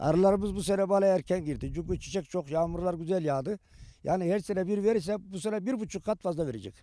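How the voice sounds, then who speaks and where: With a dark, mellow tone, a man talks at a very fast pace, the sound dry with no echo and the background quiet. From Turkey. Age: 70s. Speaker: beekeeper. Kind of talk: interview answers. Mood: pleased, upbeat. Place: open country. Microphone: handheld.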